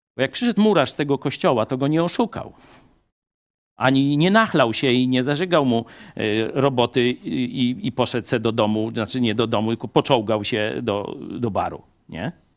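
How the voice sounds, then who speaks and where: This is a very clean recording with a silent background, featuring a man with a normal speaking voice at medium pitch. He talks at a moderate pace with lively intonation. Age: 50s. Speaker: pastor. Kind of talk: sermon.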